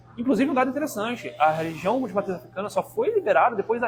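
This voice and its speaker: Noticeable background noise sits behind a man talking at a very fast pace. His pitch is high. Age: 20s. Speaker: activist and university professor. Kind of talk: podcast interview. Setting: live podcast studio. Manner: halting, many fillers.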